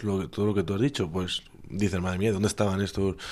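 A man speaks at a fairly low pitch in a dark, mellow tone. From Spain, Alicante province. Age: young. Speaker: volunteer. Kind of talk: casual interview. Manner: halting.

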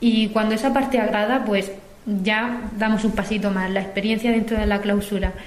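Noticeable background noise sits behind a woman with a fairly high pitch. Her delivery is a flat monotone at very even loudness. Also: moderate pace. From Murcia, Spain. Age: 20s. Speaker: cloistered nun in formation. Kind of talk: recorded testimony. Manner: halting.

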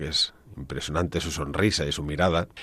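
On a very clean recording with a silent background, a man with vocal fry speaks at a fairly quick pace. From Spain, Ávila province (Castile). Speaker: priest and church organist. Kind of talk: radio interview. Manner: hesitant, with fillers and repeated words.

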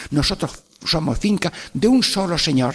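Lively intonation with vocal fry. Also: man. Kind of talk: radio catechesis talk. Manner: warm, animated.

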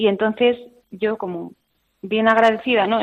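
A woman speaks at a moderate pace in a fairly high pitch with fairly even intonation. She has an unremarkable speaking voice. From Spain, Burgos province. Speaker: consecrated religious woman. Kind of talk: radio interview testimony.

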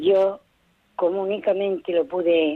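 A woman speaks at a very slow pace. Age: 80s+. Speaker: caller, widow. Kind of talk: phone-in call. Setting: phone call.

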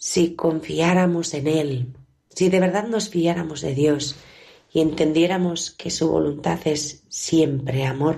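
A woman with a very deep, low pitch speaks at a very slow pace, her dark, mellow tone carrying fairly even intonation. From Bilbao area, Spain. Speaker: nun, founder of a religious congregation. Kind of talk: spiritual reflection.

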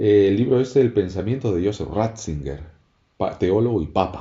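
This man's voice sits at a fairly low pitch and sounds somewhat breathy. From Canary Islands. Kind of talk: religious radio talk. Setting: radio studio. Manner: halting, frequent repetitions.

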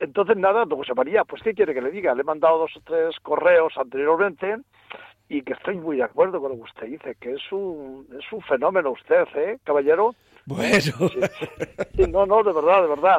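With a normal speaking voice at a fairly high pitch, a man talks at a moderate pace with lively intonation and big swings in loudness. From Ciudad Real, Spain. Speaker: radio caller. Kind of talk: phone-in call. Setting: phone call.

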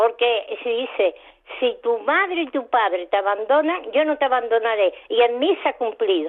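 At a moderate pace, a woman with a high pitch makes very wide pitch swings while keeping her loudness very even. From Málaga, Andalusia. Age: 80s+. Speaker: radio caller. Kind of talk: testimony. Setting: phone call.

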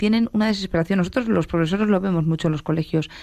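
A woman's fairly low-pitched voice with ordinary pitch variation, on a very clean recording with a silent background. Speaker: teacher. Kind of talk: radio talk show. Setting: studio.

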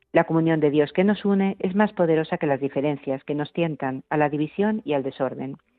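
A woman's very deep, low voice at a fairly quick pace, with hardly any pauses and ordinary pitch variation. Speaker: radio host. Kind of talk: religious radio program with news reading. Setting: radio studio. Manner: formal.

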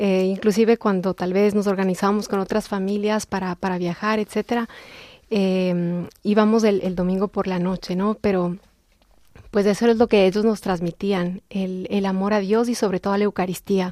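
A woman's tone is dark and mellow, her intonation monotone and flat. The sound is dry and close, with no echo. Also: medium pitch for a woman, moderate pace. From Ecuador (Quito). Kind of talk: testimony.

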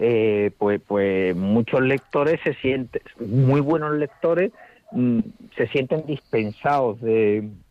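A man speaks at a very slow pace in a medium pitch. His loudness stays very even, and his pitch varies in an ordinary way. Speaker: poet and teacher. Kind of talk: interview. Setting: phone call.

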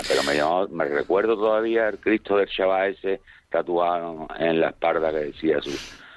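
A man speaks at a fairly slow pace with ordinary pitch variation. Noticeable background noise can be heard. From Seville, Spain. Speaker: radio caller. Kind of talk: phone-in anecdote. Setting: phone call.

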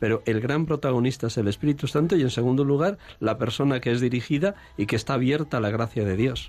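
A man at a medium pitch and very fast pace, with ordinary pitch variation, very even loudness and hardly any pauses. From Spain, Segovia. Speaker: priest, confessor. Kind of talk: radio interview.

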